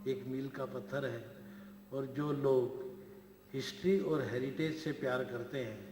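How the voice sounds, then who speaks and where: Noticeable background noise surrounds speech with lively intonation. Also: man. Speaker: event emcee. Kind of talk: formal stage hosting speech.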